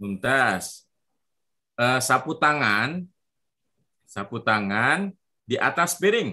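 A man's bright, sharp voice with very wide pitch swings, a very slow pace, and long, frequent pauses against a quiet background. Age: 30s. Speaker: Arabic teacher for children. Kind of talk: online language lesson. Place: open country. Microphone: video call.

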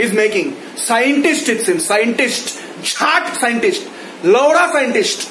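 A man with an Indian accent speaks at a very slow pace in an extremely high pitch, his intonation lively. Audible room echo and light background noise are present. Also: very even loudness. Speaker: YouTube ranter. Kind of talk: angry rant. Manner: loud, indignant, accusatory; repetitive, sarcastic, emphatic. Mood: angry, mocking. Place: home room. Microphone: phone near.

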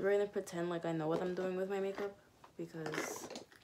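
A woman talks at a very fast pace in a flat, monotone voice. There is noticeable background noise. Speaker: beauty vlogger. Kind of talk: casual makeup tutorial chat. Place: home room. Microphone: phone near.

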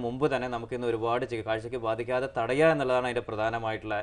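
His pitch sits in the medium range. This man's intonation stays monotone and flat. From Kerala, India. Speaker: eye doctor, retina specialist; guest. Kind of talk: medical phone-in Q&A. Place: studio. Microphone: lapel.

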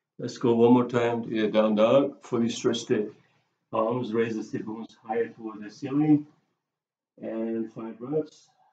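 There is light background noise and audible room echo. A man speaks with monotone, flat intonation. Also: medium pitch for a man, moderate pace. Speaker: yoga instructor. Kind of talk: guided yoga class with spoken cues. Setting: bedroom, home video. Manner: calm, steady, instructive; brisk short commands. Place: home room. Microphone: camera far.

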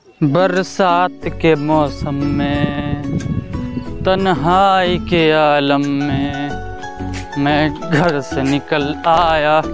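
A man at a very slow pace, dry sound with no echo, clear music in the background. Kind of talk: comedy sketch acting, song lines. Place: open country.

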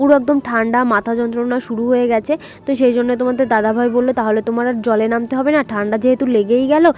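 A woman speaks in a high-pitched, flat monotone against noticeable background noise. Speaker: vlogger. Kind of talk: vlog voice-over narration. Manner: chatty, informal.

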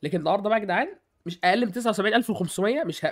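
A man with an Egyptian accent talks at a very fast pace in an animated tone, his pitch varying in an ordinary way, on a very clean recording with a silent background. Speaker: gaming YouTuber. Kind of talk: gaming tutorial. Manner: casual, animated.

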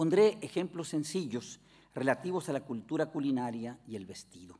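A man with a Mexican accent speaks at a moderate pace with a fairly high pitch. His pitch swings very widely. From Mexico. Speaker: philosopher and language academy director; keynote lecturer. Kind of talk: lecture. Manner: formal. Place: hall. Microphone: podium.

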